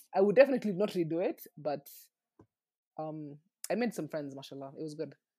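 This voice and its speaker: Speaking at a very fast pace, a woman with a very deep, low pitch and a dark, mellow tone uses lively intonation and big swings in loudness. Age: 20s. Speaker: podcast host. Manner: fast talker.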